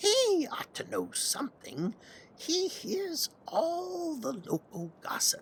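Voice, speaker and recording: Using a put-on character voice, the speaker talks at a high pitch and a very slow pace. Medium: read story. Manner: gentle, kindly.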